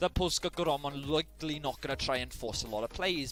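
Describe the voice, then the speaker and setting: A man speaks in a Welsh accent with a bright, sharp tone. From Wales. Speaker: esports caster. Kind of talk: live commentary.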